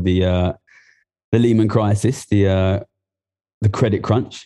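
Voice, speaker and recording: Against a quiet background, a man with a fairly low pitch and a dark, mellow tone talks at a moderate pace with ordinary pitch variation. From East London, England. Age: 30s. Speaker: economist and former trader. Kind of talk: casual interview chat.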